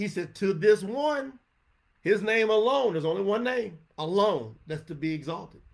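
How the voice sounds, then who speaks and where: Animated, high-pitched man with a Southern US accent, very wide pitch swings and a fairly slow pace. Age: 50s. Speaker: religious teacher. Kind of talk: scripture teaching livestream. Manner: off-the-cuff.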